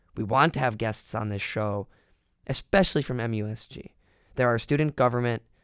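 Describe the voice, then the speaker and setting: A man with a normal speaking voice talks fairly quickly at a medium pitch, with ordinary pitch variation and big swings in loudness. The sound is dry and close with no echo, and the recording is very clean with a silent background. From small-town US. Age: young. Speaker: college radio host. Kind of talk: casual chat.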